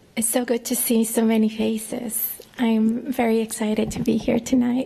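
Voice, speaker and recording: A woman with a fairly high pitch and monotone, flat intonation at a moderate pace, over noticeable background noise. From northern Mexico, raised in New Mexico. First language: Spanish. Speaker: professor. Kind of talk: commencement speech. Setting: ballroom ceremony with audience.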